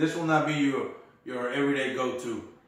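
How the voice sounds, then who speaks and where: Noticeable background noise and audible room echo surround this recording. A man with a fairly high pitch speaks at a moderate pace with ordinary pitch variation. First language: not English. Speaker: whisky reviewer. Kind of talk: casual chat.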